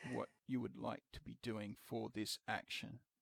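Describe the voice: A man speaks at a fairly slow pace with little pitch movement, his fairly bright tone carrying a slightly husky edge and vocal fry in a dry, close sound with no echo.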